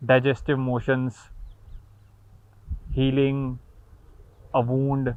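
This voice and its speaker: This man talks at a very slow pace with a medium pitch. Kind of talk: philosophical talk. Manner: slow, reflective.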